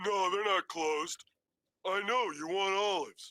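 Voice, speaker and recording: In a raised, projected cartoonish character voice, a man speaks at a high pitch with fairly even intonation, the sound dry and close with no echo. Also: moderate pace. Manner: slow, oblivious.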